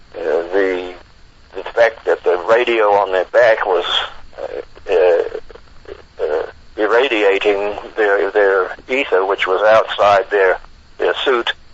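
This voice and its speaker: A man talks very slowly while noticeable background noise carries on. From New Zealand. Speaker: retired merchant marine radio officer, author. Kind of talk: interview answer.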